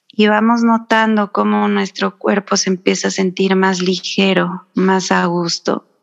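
A fairly slow pace, very even loudness, and a dry, close sound with no echo. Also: woman. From Mexico, San Luis Potosí. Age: 30s. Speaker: spiritual wellness guest. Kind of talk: casual interview chat.

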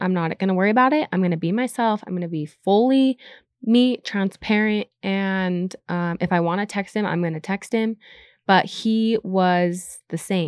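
A woman with an American accent and a plain, everyday voice at a moderate pace, in a dry, close sound with no echo against a quiet background. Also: medium pitch for a woman, ordinary pitch variation. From Utah. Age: 30s. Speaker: content creator. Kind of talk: casual chat.

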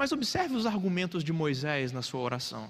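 A man at a moderate pace. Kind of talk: sermon. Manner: formal, earnest preaching that explains the text and urges the congregation.

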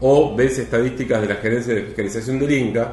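With a Rioplatense accent, a man of medium pitch speaks at a fairly quick pace amid noticeable background noise and audible room echo. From Argentina, Mar del Plata. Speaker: film critic. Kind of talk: casual chat.

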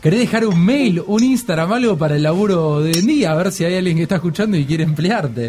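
A man with a Rioplatense accent speaks fairly quickly at a high pitch, with hardly any pauses. His intonation is lively and his loudness very even. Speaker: podcast host. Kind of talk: casual chat.

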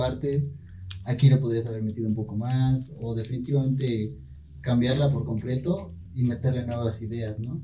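At a moderate pace, a man with a medium pitch and a dark, mellow tone talks in a somewhat breathy way with fairly even intonation, and audible room echo surrounds him. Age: 20s. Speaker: university student. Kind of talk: casual chat.

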